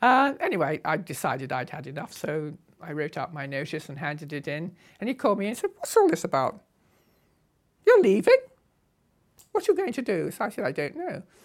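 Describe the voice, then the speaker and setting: A woman with a southern English accent, fairly quick pace, long and frequent pauses, and big swings in loudness. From England. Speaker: motorcycle traveller. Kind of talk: interview storytelling. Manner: animated.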